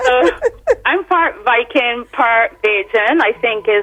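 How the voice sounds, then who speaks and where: Music plays in the background as a woman talks at a fairly slow pace with lively intonation. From Barbados (moved from Sweden as a child). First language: Swedish. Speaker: singer. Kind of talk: radio interview.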